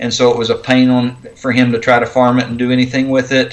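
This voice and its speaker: Flat and monotone, a man with an American accent speaks at medium pitch and a fairly quick pace. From Oklahoma. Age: 40s. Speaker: homesteader. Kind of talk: casual chat.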